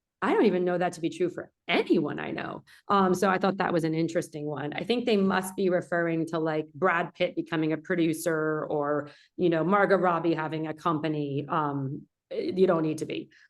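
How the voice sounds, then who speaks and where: Speaking with a New Jersey accent at a fairly quick pace, a woman keeps her fairly low voice in fairly even intonation. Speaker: film producer and instructor. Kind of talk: lecture. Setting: video call. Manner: loud; fast.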